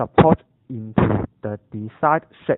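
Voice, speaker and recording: The speaker talks with a Cantonese accent. The pace is very slow. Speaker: university student. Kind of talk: scripted narration.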